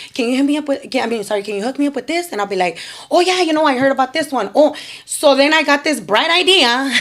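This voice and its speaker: Noticeable noise sits in the background. A woman talks at a very fast pace. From Chicana, Mexican-American. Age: 30s. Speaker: nonprofit founder, formerly incarcerated. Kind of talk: podcast interview answer. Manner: energetic, upbeat.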